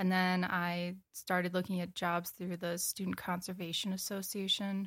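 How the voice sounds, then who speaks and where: Recorded with a dry, close sound and no echo, a woman with an American accent talks at a moderate pace and medium pitch in a monotone, flat intonation. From Wisconsin, US Upper Midwest. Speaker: graduate student in ecology. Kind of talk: casual interview.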